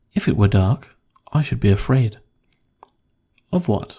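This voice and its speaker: A man's fairly low, somewhat breathy voice at a moderate pace. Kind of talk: horror story reading. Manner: soft-spoken, whispered.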